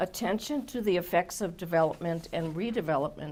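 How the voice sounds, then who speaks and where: In an Upper Midwest accent, a woman speaks at a moderate pace with a medium pitch and ordinary pitch variation. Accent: Upper Midwest American. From Milwaukee, Wisconsin. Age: 70s. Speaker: commission applicant. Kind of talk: job interview. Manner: formal.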